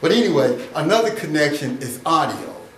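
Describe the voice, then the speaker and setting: Lively intonation marks this man's speech. Audible room echo and noticeable background noise surround it. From Michigan. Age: 60s. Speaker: self-styled relationship educator. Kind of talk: informal lecture. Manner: halting, with many fillers.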